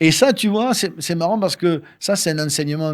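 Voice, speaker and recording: Recorded very cleanly against a silent background, a man talks at a moderate pace with lively intonation and a fairly high pitch. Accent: southern French. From southern France, Toulouse area. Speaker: radio host and singer-songwriter. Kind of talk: interview. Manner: animated.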